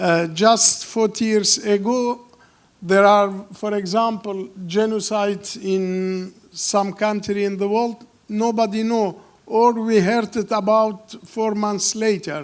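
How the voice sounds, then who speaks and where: Speaking very slowly, a man with a high voice keeps his intonation fairly even. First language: not English. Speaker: film director. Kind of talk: Q&A interview. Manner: halting.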